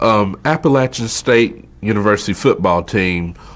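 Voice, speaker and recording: A man speaks with a North Carolina accent. His voice is fairly low, and his pace fairly slow. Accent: Southern US (North Carolina). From North Carolina, Wilkes County. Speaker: oral history interviewee. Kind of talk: interview.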